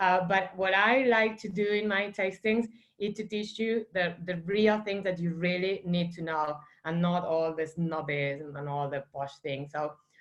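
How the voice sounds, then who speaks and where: With an Argentine accent, a woman speaks fairly slowly at a medium pitch, her pitch varying in an ordinary way. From Argentina, Santa Fe. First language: Spanish. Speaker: wine estate manager. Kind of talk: virtual wine tasting. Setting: video call. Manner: casual, many fillers.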